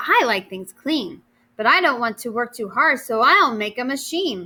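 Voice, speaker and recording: Using a put-on character voice, a woman speaks high-pitched at a moderate pace, her pitch swinging very widely. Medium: read story.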